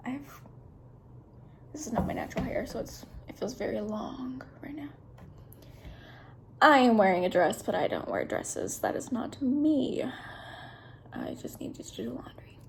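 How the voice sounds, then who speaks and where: A woman whispers at a moderate pace with an American accent, leaving long, frequent pauses. Her loudness swings widely, and room echo is audible. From Kentucky, small town. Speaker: vlogger, nursing student. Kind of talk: casual vlog introduction. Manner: soft-spoken.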